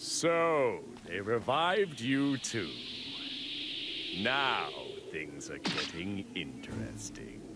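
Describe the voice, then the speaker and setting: A man's put-on character voice at a very slow pace, against loud background noise. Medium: game stream. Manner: cool and arrogant.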